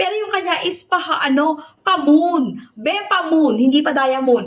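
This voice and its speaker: The speaker's tone is animated. The pace stays fairly slow. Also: woman. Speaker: online seller. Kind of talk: sales pitch.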